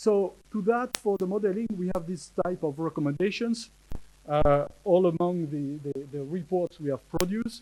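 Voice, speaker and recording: In a French accent, a man speaks at a moderate pace with a dark, mellow tone, a high pitch for a man, and ordinary pitch variation. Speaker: marine scientist speaker. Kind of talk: conference talk. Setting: conference with audience. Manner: halting, many hesitations.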